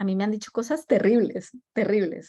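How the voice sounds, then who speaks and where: A woman with a Colombian accent speaks at a fairly slow pace in a very clean recording with a silent background. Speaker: design leader. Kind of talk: talk with audience Q&A. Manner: halting with many fillers and repetitions.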